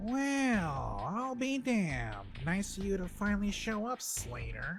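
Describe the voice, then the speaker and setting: A man puts on a character voice. He speaks at a fairly slow pace and a high pitch. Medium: video game. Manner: blunt, commanding.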